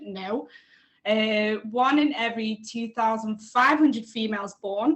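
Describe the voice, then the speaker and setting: A woman with a Liverpool accent speaks with ordinary pitch variation. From England, Liverpool. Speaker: researcher. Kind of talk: casual chat.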